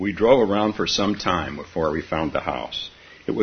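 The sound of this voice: An unforced reading voice moves with ordinary variation in pitch.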